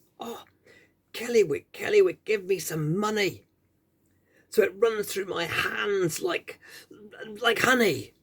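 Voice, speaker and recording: Putting on a raspy character voice, a man speaks at a high pitch and fairly slow pace, with ordinary pitch variation and long, frequent pauses. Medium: read story.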